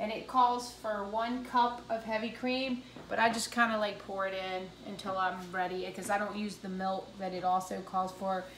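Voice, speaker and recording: A woman talks at a moderate pace and a medium pitch, with hardly any pauses. Audible room echo and noticeable background noise are present. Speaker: home cooking video host. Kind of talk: cooking tutorial. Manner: casual, with fillers and restarts.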